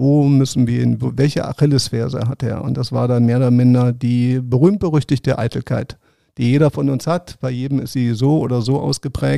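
The man's tone is dark and mellow, with fairly even intonation. The sound is dry and close, with no echo. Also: medium pitch for a man, moderate pace. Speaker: sports journalist and former Paralympic swimmer. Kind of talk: interview.

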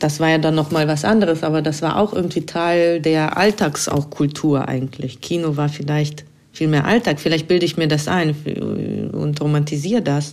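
Her voice very deep and low, a woman speaks at a moderate pace with very even loudness and fairly even intonation. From Russia, St. Petersburg. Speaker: filmmaker. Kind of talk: voice message monologue.

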